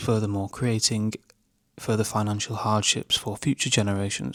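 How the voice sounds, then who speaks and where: A speaker with a British accent talks with fairly even intonation. The recording is very clean, with a silent background. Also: man. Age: 20s. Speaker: YouTuber. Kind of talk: talking-head commentary. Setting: at home at night.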